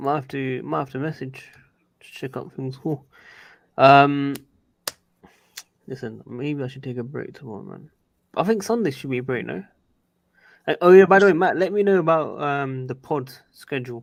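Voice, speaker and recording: A man talks at a moderate pace and fairly high pitch, with lively intonation and big swings in loudness. He leaves long, frequent pauses, and the recording is very clean with a silent background. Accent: London. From London. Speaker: football YouTuber. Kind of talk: casual chat. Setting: live stream.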